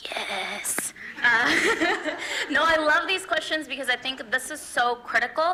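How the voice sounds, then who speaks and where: A woman with a high pitch projects a raised voice with lively intonation. She speaks fairly slowly over noticeable background noise. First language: not English. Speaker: student election candidate. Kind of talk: debate. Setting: stage with audience.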